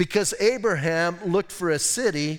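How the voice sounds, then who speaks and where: With ordinary pitch variation, a man talks in a high register. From United States. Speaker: pastor. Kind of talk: sermon. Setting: church. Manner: animated.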